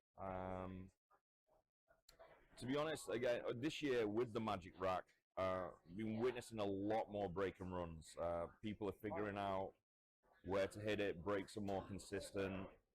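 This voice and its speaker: At a moderate pace, a man talks in a fairly low pitch with ordinary pitch variation and long, frequent pauses. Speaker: pool commentator. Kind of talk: live commentary. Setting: commentary spot at pool venue. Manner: loud.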